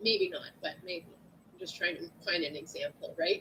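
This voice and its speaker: A woman speaks in a raised, projected voice with an animated tone. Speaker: nursing instructor. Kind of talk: lecture. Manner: loud.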